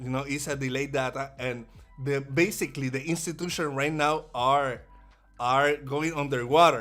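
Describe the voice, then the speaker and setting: A man with a Puerto Rican accent speaks at a fairly high pitch with fairly even intonation. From Puerto Rico. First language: Spanish. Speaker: day trader. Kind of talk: live trading stream commentary. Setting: livestream. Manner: halting, many repetitions.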